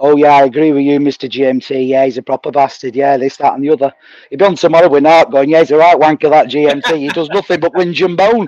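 A fairly high-pitched man in a Mancunian accent, talking very fast, the sound dry and close with no echo. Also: ordinary pitch variation. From Manchester, northern England. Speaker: livestream chat participant. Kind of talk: casual chat.

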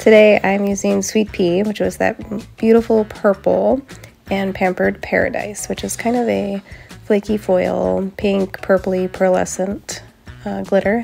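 A woman at a fairly slow pace, music in the background. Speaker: nail tutorial creator. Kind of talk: casual talk to camera.

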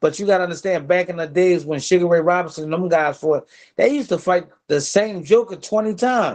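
A man's high-pitched voice at a fairly quick pace, with ordinary pitch variation against a quiet background. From Philadelphia, US. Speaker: former professional boxer; podcast guest. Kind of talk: casual interview. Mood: relaxed storytelling. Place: home room. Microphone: video call.

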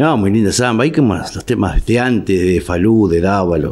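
A man speaks with a Rioplatense accent at a fairly low pitch. His pace is moderate, with ordinary pitch variation. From Argentina. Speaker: folk singer. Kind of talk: casual interview. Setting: studio. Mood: relaxed, friendly. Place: studio. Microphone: studio mic.

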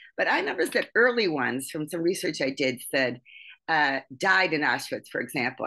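Against a quiet background, a woman with an American accent talks fairly quickly, her bright, sharp tone paired with a very deep, low pitch. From US Midwest. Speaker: podcast co-host and theater project founder. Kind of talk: podcast interview. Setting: video call. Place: home room. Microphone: video call.

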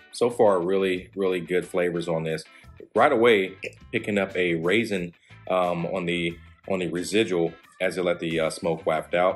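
Over faint background music, a man with a very deep, low pitch speaks at a moderate pace with fairly even intonation. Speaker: cigar reviewer. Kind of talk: product review commentary. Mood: relaxed, appreciative. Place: home room.

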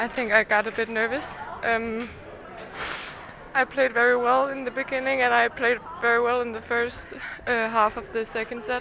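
A woman talks at a fairly slow pace, her intonation monotone and flat, with long, frequent pauses. Noticeable background noise runs under her voice. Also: dry sound with no echo. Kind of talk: interview answer. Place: hall. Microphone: handheld.

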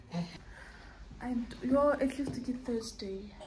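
Noticeable background noise behind a woman's fairly quick speech. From South Africa. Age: 20s. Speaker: vlogger and kindergarten English teacher; vlogger, kindergarten English teacher. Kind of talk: casual vlog narration. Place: home room. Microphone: phone near.

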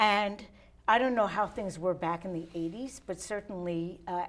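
A normal speaking voice at a fairly slow pace. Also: woman. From Philadelphia. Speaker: local TV talk show host. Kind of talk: casual interview. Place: studio. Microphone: lapel.

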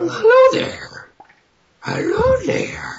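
This put-on character voice is raspy and pitched extremely high. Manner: creepy.

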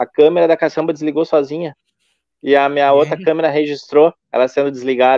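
A man talks at a very fast pace in a flat, monotone delivery. The sound is dry with no echo, over a quiet background. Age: 40s. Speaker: paranormal investigator youtuber. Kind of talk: casual live stream chat. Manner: halting, many fillers. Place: home room. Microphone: phone near.

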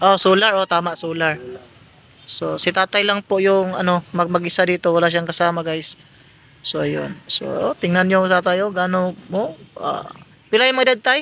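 The speech comes at a moderate pace with ordinary pitch variation, in a dry sound with no echo and light background noise. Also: man, high pitch for a man. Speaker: vlogger. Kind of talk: casual talk to camera. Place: workshop. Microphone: phone near.

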